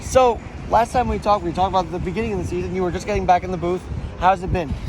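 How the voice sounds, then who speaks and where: Noticeable background noise fills the clip. Through it, a man speaks very fast. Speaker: podcast interviewer and host. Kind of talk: casual interview.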